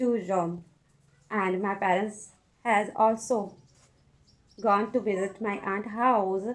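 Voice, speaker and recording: This woman speaks at a very slow pace with a non-native accent. Her pitch is fairly high and her intonation fairly even. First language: not English. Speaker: English learner. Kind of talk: casual talk to camera. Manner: hesitant.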